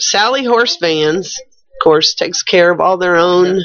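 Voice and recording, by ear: A woman speaks slowly with a fairly low pitch and a fairly bright tone.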